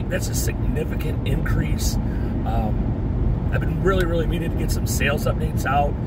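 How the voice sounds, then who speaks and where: A man's speech, dry and free of echo, moves at a moderate pace beneath loud background noise. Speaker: part-time online reseller. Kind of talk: casual vlog chat. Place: car. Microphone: phone near.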